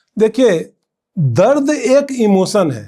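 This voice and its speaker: High in pitch, this man's voice carries a dark, mellow tone. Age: 60s. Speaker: poet. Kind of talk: interview answer.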